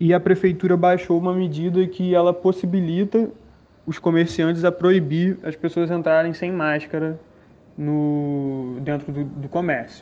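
With a dark, mellow tone and a high pitch, a man speaks at a fairly slow pace with fairly even intonation. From São Gonçalo, Rio de Janeiro state, Brazil. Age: 20s. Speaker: science teacher. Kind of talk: first-person account. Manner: hesitant, many fillers.

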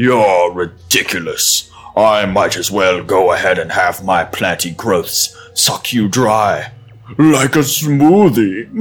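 In a booming put-on character voice, a man speaks at fairly low pitch and a fairly slow pace. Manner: menacing, arrogant.

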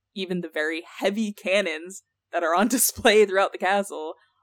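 Talking at a fairly quick pace, a woman with an unremarkable speaking voice uses a medium pitch and ordinary pitch variation, recorded with a dry, close sound and no echo. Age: 20s. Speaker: podcast co-host. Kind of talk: casual chat presenting research. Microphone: new mic.

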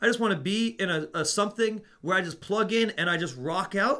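A man's raised, projected voice, high in pitch, with a bright, sharp tone, lively intonation and a fairly quick pace. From Netherlands. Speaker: music store assistant manager and podcast co-host. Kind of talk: casual chat.

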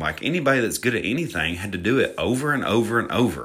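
A man with a Southern US accent, medium pitch, a bright, sharp tone, vocal fry and a moderate pace. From Alabama. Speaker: fitness podcaster. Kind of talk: solo podcast monologue. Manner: casual, self-deprecating, chatty.

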